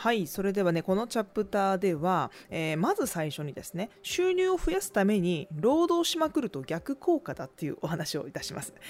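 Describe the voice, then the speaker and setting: A woman at medium pitch speaks at a moderate pace with hardly any pauses and very wide pitch swings. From Tokai region, Japan. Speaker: podcast host, business owner. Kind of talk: solo talk radio monologue.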